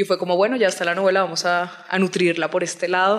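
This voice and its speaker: With a Colombian Caribbean accent, a woman talks at a fairly quick pace and a medium pitch. Noticeable background noise runs underneath. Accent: Colombian coastal (costeño), noticeable. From Colombian Caribbean coast, Barranquilla. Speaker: novelist. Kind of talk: interview.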